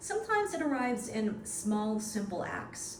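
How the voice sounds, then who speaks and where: Over noticeable background noise, a woman talks at a fairly slow pace in a fairly high voice. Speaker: broadcast journalist, senior news anchor and radio host. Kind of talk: award acceptance speech to camera.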